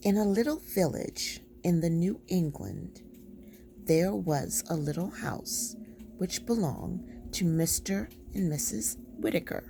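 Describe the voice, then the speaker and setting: Soft-spoken, a woman talks at a very slow pace. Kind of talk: soft-spoken bedtime story reading. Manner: soft-spoken, slow.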